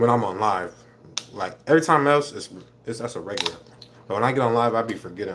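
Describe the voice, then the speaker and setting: Over noticeable background noise, a man with an American accent talks very fast at a medium pitch with ordinary pitch variation, broken by long, frequent pauses. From Minnesota. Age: 20s. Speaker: livestreamer. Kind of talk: casual livestream chat while eating. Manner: fast, hurried.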